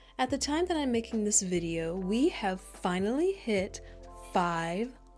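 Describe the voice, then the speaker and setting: Music runs in the background. Over it, a woman talks with very wide pitch swings. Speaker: ASMR creator. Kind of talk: ASMR Q&A to camera, doting comforting talk. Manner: soft-spoken, gentle, comforting.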